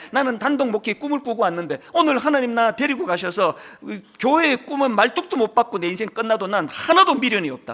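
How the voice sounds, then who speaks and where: Extremely high in pitch, a man's voice moves at a fairly quick pace. His pitch swings very widely. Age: 60s. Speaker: pastor. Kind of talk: sermon. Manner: animated.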